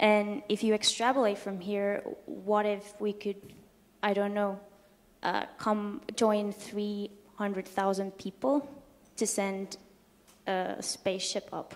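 A woman speaks at a very slow pace with long, frequent pauses. Her intonation stays monotone and flat. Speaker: physics institution staff. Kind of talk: talk. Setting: stage with audience. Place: hall.

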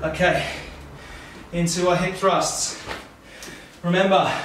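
A man with a high voice talks at a very slow pace. The recording carries noticeable background noise and audible room echo. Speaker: fitness instructor. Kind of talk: workout instruction. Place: home room.

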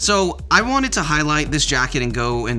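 A man speaks with faint music in the background. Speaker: clothing reviewer. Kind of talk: product review talk. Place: home room.

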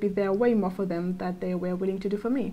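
A woman with a French accent speaks at a medium pitch while music plays in the background. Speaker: architecture student, vlogger. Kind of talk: personal reflective monologue.

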